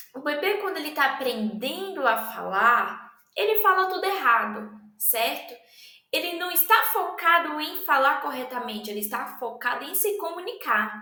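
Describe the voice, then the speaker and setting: Speaking fairly slowly, a woman projects her high voice with very wide pitch swings amid audible room echo. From Brazil. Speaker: language student presenter. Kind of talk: educational presentation. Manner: halting, many fillers.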